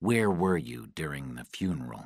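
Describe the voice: Putting on a character voice, a man speaks at a moderate pace with an extremely low pitch and big pitch swings, in a very clean recording with a silent background.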